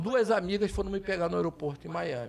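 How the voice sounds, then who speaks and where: A man with vocal fry at a fairly quick pace. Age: 60s. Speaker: political candidate. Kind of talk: casual political chat. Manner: animated.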